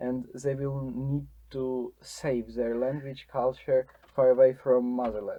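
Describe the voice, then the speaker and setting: A man speaks with a Ukrainian accent at a medium pitch. His delivery is fairly slow and flat in a monotone. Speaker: podcast host, volunteer. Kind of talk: interview. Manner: halting.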